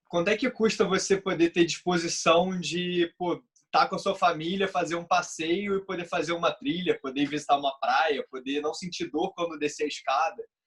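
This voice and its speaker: With a Brazilian accent, a man talks at a moderate pace and a high pitch, using ordinary pitch variation and hardly any pauses. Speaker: health podcast co-host. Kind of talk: casual podcast conversation.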